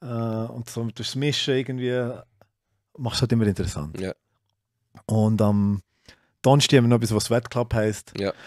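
A man at a moderate pace with long, frequent pauses, dry sound with no echo, and a quiet background. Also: fairly even intonation. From Switzerland, Solothurn; Switzerland. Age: 30s. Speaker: CrossFit gym owner; podcast guest. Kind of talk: casual chat. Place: studio. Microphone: studio mic.

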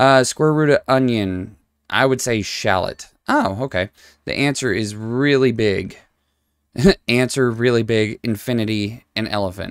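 A man speaks with ordinary pitch variation in a dry sound with no echo, over a quiet background. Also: fairly slow pace. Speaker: gamer streamer. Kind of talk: gameplay commentary. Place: home room. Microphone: headset.

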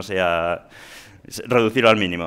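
Intonation stays fairly even as a man talks. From Spain, Asturias (Gijón); Asturias, Spain. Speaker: software engineer; presenter. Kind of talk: conference talk; lecture. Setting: stage with audience. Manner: halting. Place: hall. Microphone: headset.

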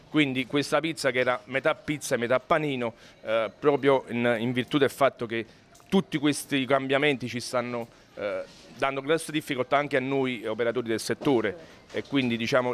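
With fairly even intonation and a fairly quick pace, a man is heard over light background noise. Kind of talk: interview answer. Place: shop. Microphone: handheld.

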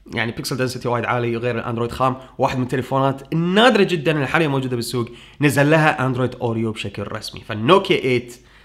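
A man at a very fast pace with hardly any pauses and ordinary pitch variation, over a quiet background. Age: 30s. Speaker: tech YouTuber. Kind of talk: Q&A answering viewer questions. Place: home room.

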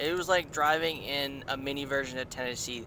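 His tone bright and sharp, a man speaks at a moderate pace. Noticeable background noise is present, though the sound is dry with no echo. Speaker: vlogger. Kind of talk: casual vlog chat. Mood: relaxed, cheerful. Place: car. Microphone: lapel.

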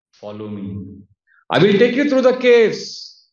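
A man talks at a moderate pace against a quiet background, with audible room echo. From India, Udupi (Karnataka); Karnataka, India. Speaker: monk and spiritual teacher; monk lecturer. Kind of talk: lecture. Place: home room.

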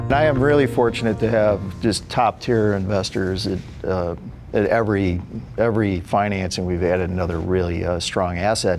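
With an American accent, a man speaks at a moderate pace in a fairly low pitch with ordinary pitch variation, clear music playing in the background. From US Midwest, Chicago. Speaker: tech company CEO. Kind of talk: interview. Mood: calm, confident. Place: office.

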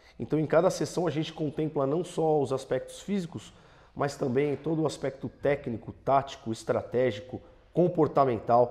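A man's pitch varies ordinarily as he talks at a moderate pace. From Brazil, Santo André (ABC Paulista, São Paulo); São Paulo state, Brazil. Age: 40s. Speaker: football fitness coach; football coaching staff member. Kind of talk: interview; interview answer. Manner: hesitant with fillers. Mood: calm, positive. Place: studio. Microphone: lapel.

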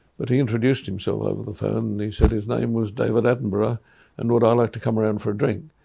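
Against a quiet background, a man with an Australian accent talks very fast in a dark, mellow tone with vocal fry and monotone, flat intonation. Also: fairly low pitch for a man. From Australia, New South Wales (Goulburn); New South Wales. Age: 80s+. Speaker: artist. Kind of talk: reminiscing interview. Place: workshop.

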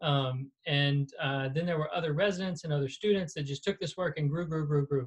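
In a quiet setting, a man with an American accent speaks at fairly high pitch and a moderate pace. His voice is somewhat breathy, with ordinary pitch variation. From US South, South Carolina. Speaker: surgeon and professor; professor. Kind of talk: lecture. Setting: video call. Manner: casual, animated. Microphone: video call.

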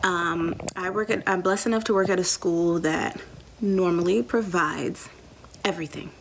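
Light noise lingers in the background as the talk moves at a moderate pace. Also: woman. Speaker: teacher, new vlogger. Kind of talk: casual vlog chat. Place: home room. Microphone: phone near.

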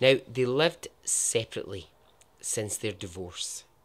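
A man with a Scottish accent and ordinary pitch variation, on a very clean recording with a silent background. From Scotland. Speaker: podcast host, storyteller. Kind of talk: casual storytelling narration.

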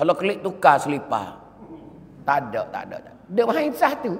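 This speaker has a Patani accent and talks at a moderate pace. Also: man. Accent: Patani Malay (Kelantan-Patani dialect). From southern Thailand. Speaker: Islamic preacher. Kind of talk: sermon. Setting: mosque. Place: church. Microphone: podium.

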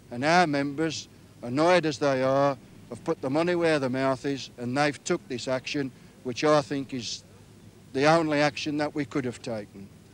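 The sound is dry with no echo. A man speaks at a moderate pace with fairly even intonation. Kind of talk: interview answer. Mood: defiant, confident. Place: open country.

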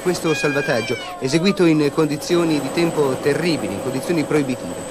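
A man talks fairly quickly at a fairly high pitch, his pitch varying in an ordinary way, while background noise is noticeable. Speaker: TV news presenter/reporter. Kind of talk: 1980s TV newscast voice-over narration, solemn and dramatic. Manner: grave, measured, formal, urgent.

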